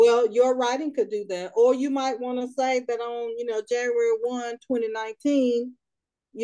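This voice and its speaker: In a North Carolina accent, a woman speaks at a fairly slow pace with a fairly high pitch. Her tone is dark and mellow, and the background is quiet. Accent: Southern US (North Carolina). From North Carolina, Raleigh. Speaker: writing and editing business owner. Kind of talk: interview, personal storytelling.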